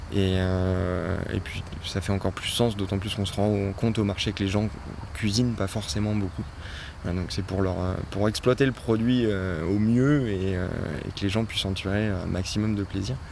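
Using fairly even intonation, a man talks at a fairly low pitch and a fairly slow pace. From French Alps (Oisans, Isère). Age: 30s. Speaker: farm worker, former photographer. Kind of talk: interview. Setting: outdoors on a farm plot. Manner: hesitant, many fillers and repetitions.

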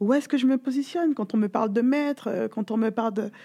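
On a very clean recording with a silent background, a woman speaks at a fairly quick pace in a fairly high, somewhat breathy voice with a dark, mellow tone. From Guadeloupe. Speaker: gwoka dancer and trainee coach. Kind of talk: interview. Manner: talkative.

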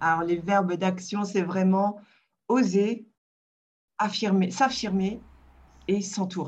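A woman's somewhat breathy voice at medium pitch, very slow, with fairly even intonation and long, frequent pauses. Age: 50s. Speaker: digital communication agency founder. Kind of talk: interview. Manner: halting.

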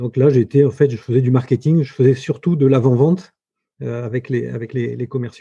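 Somewhat breathy, a man's dark, mellow voice sits at medium pitch, with fairly even intonation and a moderate pace. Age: 50s. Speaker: entrepreneur. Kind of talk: interview. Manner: halting.

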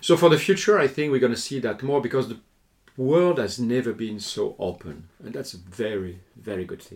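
A man at medium pitch and moderate pace, with very wide pitch swings and big swings in loudness. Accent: French. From southern France, Lourdes. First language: French. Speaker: hotel sales and marketing executive and lecturer. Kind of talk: interview.

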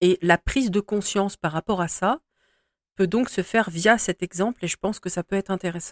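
The sound is dry and close with no echo, on a very clean recording with a silent background. A woman talks at medium pitch and a moderate pace with ordinary pitch variation. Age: 40s. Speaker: spiritual podcast host. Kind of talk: solo monologue podcast. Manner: hesitant, with fillers.

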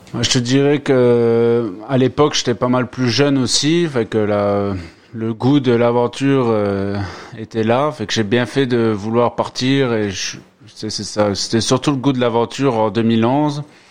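Delivered very slowly, the speech keeps a fairly even intonation. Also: man, medium pitch for a man. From France, Moselle. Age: 30s. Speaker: immigrant worker. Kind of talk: casual interview. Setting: home studio.

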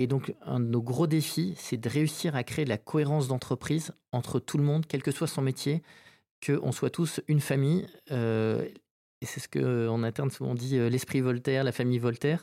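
In a very clean recording with a silent background, a man's medium-pitched voice sounds dry and close with no echo, with ordinary pitch variation. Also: moderate pace. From French Basque Country (Saint-Jean-de-Luz). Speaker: company founder. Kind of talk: interview. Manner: halting, many hesitations.

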